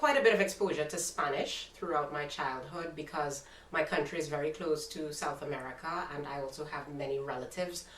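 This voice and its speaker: Audible room echo and noticeable background noise around a woman's moderate-paced speech. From Trinidad and Tobago. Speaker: YouTuber. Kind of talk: casual interview chat.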